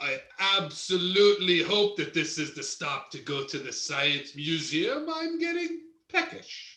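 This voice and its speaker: This man uses a put-on character voice, pitched high and delivered at a moderate pace, with a slight echo around it. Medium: stage play. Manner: enthusiastic, playful.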